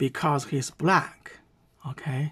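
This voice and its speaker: Recorded very cleanly against a silent background, a woman talks with a Chinese accent. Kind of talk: commentary on a reaction video.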